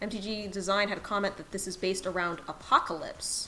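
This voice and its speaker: A woman talks at a moderate speed in a medium pitch, with ordinary pitch variation. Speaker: game streamer. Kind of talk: live gameplay stream chat. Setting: live stream. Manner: soft-spoken.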